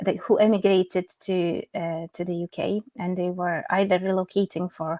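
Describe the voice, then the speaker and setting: In a Polish accent, a woman talks at medium pitch with fairly even intonation, in a very clean recording with a silent background and a dry, close sound with no echo. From Poland. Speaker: English teacher and medical interpreter. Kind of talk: interview.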